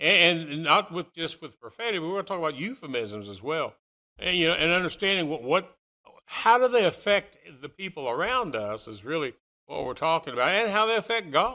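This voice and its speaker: The voice moves at a fairly quick pace with a bright, sharp tone, very wide pitch swings and big swings in loudness. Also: man, high pitch for a man. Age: 60s. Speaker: preacher. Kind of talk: sermon.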